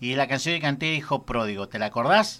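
A man at a moderate pace, bright and sharp in tone, on a very clean recording with a silent background. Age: 30s. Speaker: radio host. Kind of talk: radio interview.

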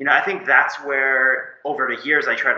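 A man speaks at a fairly quick pace. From Canada, Moncton, New Brunswick. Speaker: agency founder and CEO. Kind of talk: interview.

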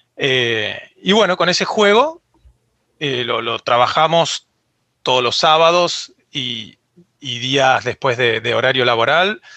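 At a very slow pace and with long, frequent pauses, a man speaks in a fairly high pitch with lively intonation. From Argentina. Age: 30s. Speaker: 3D character artist. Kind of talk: interview.

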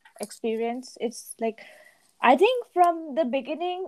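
Here a woman speaks at a fairly slow pace. Her intonation stays lively. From India. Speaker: podcast co-host. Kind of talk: casual chat.

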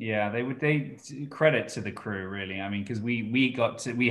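Over noticeable background noise, this man rattles off his words at a very fast pace. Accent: American. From Britain. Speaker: actor. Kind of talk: interview.

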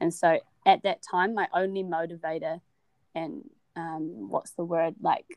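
A woman with a New Zealand accent speaks fairly slowly at a fairly low pitch, with ordinary pitch variation. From New Zealand, Wellington. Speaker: university student. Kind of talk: casual interview.

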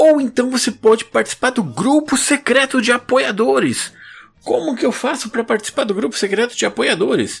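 A man with a Brazilian accent speaks at a moderate pace in an extremely high pitch, his pitch varying in an ordinary way. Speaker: podcast host. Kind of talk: casual chat; sales pitch.

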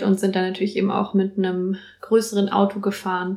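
On a very clean recording with a silent background, a woman speaks at a moderate pace and a medium pitch. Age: 20s. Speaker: university student, environmental activist. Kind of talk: casual interview.

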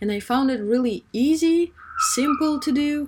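Somewhat breathy, a woman speaks at a fairly slow pace with very wide pitch swings. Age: 20s. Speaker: student podcaster. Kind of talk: solo advice monologue.

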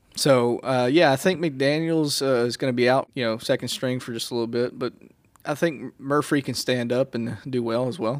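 This man has a Southern US accent and speaks with fairly even intonation. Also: medium pitch for a man, moderate pace. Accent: Southern American. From Mississippi. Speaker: student podcast co-host. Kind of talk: casual chat.

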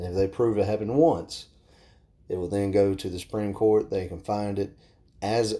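A man with a Southern US accent, fairly low in pitch, dark and mellow in tone, with fairly even intonation. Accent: Southern American. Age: 20s. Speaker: podcast host and firearms instructor. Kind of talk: solo podcast monologue.

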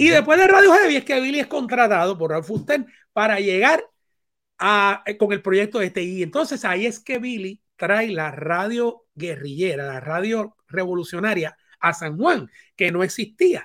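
In a very clean recording with a silent background, a man with a Puerto Rican accent talks at a fairly slow pace in a high pitch, his voice swinging very widely in pitch. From Puerto Rico. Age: 50s. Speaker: radio DJ and video director. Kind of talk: interview. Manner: halting.

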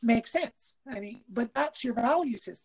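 A woman speaks at a very slow pace with a fairly high pitch and a somewhat breathy quality. The sound is dry and close, with no echo. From Quebec, Canada. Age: 50s. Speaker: podcast co-host. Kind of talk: casual chat. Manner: halting.

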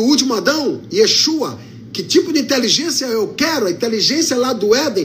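A man with an extremely high pitch and lively intonation at a moderate pace, amid noticeable background noise and audible room echo. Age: 50s. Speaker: pastor. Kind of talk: sermon.

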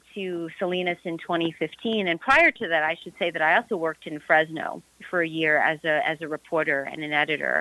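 A woman uses a normal speaking voice, fairly low in pitch, at a moderate pace with fairly even intonation. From New York suburbs. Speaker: journalist and author. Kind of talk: interview.

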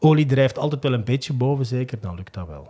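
A dark, mellow, somewhat breathy voice at a fairly quick pace. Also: man. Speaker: sports journalist. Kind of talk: casual chat.

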